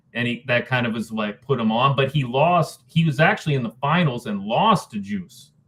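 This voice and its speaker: Here is a man with a plain, everyday voice. His pitch is medium and his pace moderate. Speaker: spoken word poet and rapper. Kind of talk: interview answer. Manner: casual, conversational.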